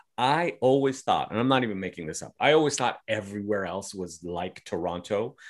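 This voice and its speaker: Using a normal speaking voice, a man talks at a fairly quick pace with hardly any pauses, a fairly low pitch, lively intonation and big swings in loudness. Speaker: comedian. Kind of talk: casual chat. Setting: video call from a basement room. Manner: upbeat, relaxed, talkative.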